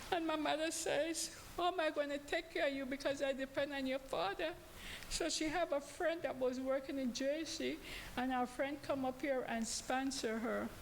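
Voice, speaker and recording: A woman speaks at a high pitch with ordinary pitch variation. Her pace is moderate. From Panama. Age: old. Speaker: congregation member. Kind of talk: testimony. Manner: halting.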